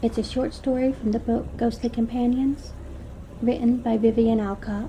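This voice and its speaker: Noticeable background noise sits behind a woman with a fairly high pitch. She speaks at a moderate pace in a monotone, flat intonation. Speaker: storyteller. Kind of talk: gothic horror story reading.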